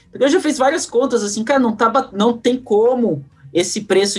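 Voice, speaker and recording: A man keeps a moderate pace while music sounds behind him. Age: 20s. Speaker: podcast host. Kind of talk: casual interview chat.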